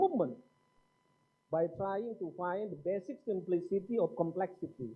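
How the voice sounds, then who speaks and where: Speaking at a fairly slow pace with an Indonesian accent, a man uses a high voice and lively intonation. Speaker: seminar speaker. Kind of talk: lecture. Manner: formal.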